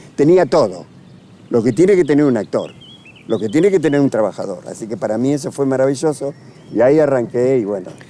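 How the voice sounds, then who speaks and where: Very fast, lively-intoned speech from a man amid noticeable background noise. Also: medium pitch for a man. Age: 80s+. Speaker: actor. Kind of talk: interview. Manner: halting.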